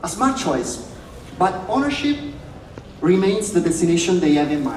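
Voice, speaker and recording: A man with an Italian accent talks at a high pitch, his pitch swinging very widely. Audible room echo and noticeable background noise surround him. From Italy. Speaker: real estate speaker. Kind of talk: conference presentation. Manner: halting.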